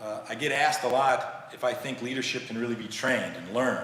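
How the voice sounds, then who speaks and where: A man with an American accent speaks at a moderate pace and medium pitch. Noticeable background noise and audible room echo surround him. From United States. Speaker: leadership trainer. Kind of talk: presentation. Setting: stage with live audience.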